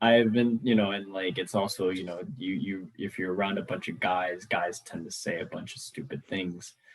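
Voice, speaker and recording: A man's fairly low voice with an American accent, at a moderate pace with hardly any pauses and ordinary pitch variation, over noticeable background noise. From California. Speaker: student podcast co-host. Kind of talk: casual chat. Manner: condescending tone; halting.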